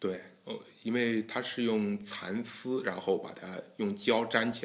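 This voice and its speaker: A man's voice in a monotone, flat intonation. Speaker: guqin association president and engineering scholar. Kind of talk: interview.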